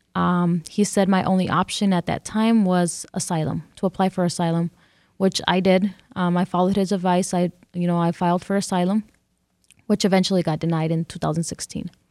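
A woman speaks in monotone, flat intonation. The recording is very clean with a silent background, and the sound is dry and close with no echo. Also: fairly low pitch for a woman, fairly quick pace. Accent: Californian. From California. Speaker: immigrant facing deportation. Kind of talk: radio interview. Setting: radio studio. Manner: halting.

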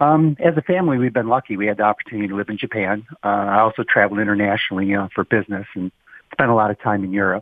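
A man with an American accent, fairly low in pitch, talking at a very fast pace. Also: ordinary pitch variation. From Roseville, Michigan (Detroit suburbs). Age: 60s. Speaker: voter. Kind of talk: radio call-in interview. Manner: halting, repeats words.

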